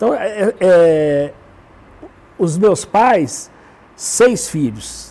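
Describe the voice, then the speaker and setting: A man speaks at a high pitch and a very slow pace, pausing long and often. His pitch swings very widely. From Brazil, Belo Horizonte (Minas Gerais). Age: 70s. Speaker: educator and writer. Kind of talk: talk show interview. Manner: halting, with frequent repetitions.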